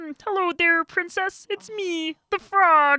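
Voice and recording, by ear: An extremely high-pitched put-on character voice speaks at a fairly slow pace.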